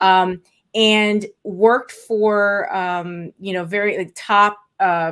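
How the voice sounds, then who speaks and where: Speaking at a very slow pace, a woman keeps her intonation monotone and flat. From South Florida, born in Puerto Rico, Afro-Cuban. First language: Spanish. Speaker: estate planning lawyer. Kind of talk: interview.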